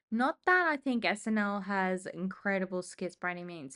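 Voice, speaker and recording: Bright, sharp tone from a woman with an Australian accent, medium pitch and moderate pace, against a quiet background. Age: 20s. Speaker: vlogger. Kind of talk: casual chat. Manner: casual, thinking aloud.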